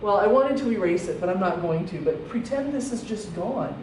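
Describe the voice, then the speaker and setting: A woman speaks at a fairly high pitch, with very wide swings in it. The room echo is audible, and there is noticeable background noise. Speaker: math teacher. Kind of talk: lecture.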